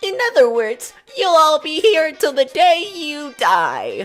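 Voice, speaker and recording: Faint music plays in the background as a strained, high-pitched, put-on character voice moves at a fairly slow pace. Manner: taunting.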